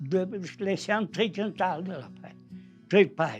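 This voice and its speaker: A man talks with ordinary pitch variation while music sounds in the background. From Valgrisenche, Aosta Valley, Italy. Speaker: mountain villager, former farm worker. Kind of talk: interview answer.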